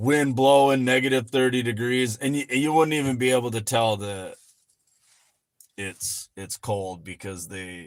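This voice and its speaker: A man with an ordinary speaking voice talks at a moderate pace with ordinary pitch variation, in a very clean recording with a silent background. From Michigan. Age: 40s. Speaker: finance YouTuber and farmer. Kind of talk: livestream chat. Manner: casual, rambling with fillers.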